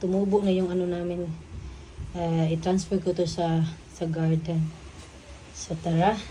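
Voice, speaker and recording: Speaking at a fairly slow pace with long, frequent pauses, a woman uses a fairly low, somewhat breathy voice. Her intonation is monotone and flat, and audible room echo surrounds it. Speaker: vlogger. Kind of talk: casual vlog.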